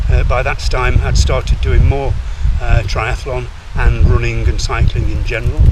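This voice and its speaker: The speaker talks at a moderate pace over noticeable background noise, with audible room echo. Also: man. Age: 60s. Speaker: triathlete vlogger. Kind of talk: vlog monologue. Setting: outdoors, on a run. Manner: halting.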